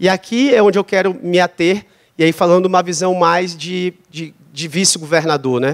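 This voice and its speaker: A man with a São Luís accent speaks at a high pitch. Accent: São Luís (ludovicense) Brazilian Portuguese. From Brazil, São Luís, Maranhão. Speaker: vice-governor and education official. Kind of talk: panel discussion. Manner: halting, with self-corrections.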